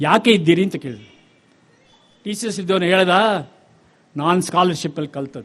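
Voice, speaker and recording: A man speaks in a high pitch with ordinary pitch variation. His loudness swings widely. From Chennai, Tamil Nadu. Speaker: bank chairman, chief guest. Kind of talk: ceremonial speech. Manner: code-switching Kannada and English.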